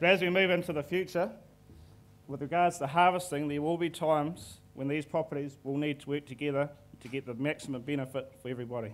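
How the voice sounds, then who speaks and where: A man with a New Zealand accent talks at a very fast pace in a fairly high pitch. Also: ordinary pitch variation, very clean recording, silent background. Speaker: forestry manager presenting to investors. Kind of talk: conference presentation.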